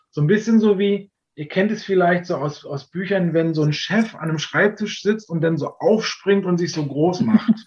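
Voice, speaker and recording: A man talks in a high pitch with ordinary pitch variation. His pace is moderate. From Berlin area, Germany. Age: 40s. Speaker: tour guide and long-term traveller. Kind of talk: casual interview.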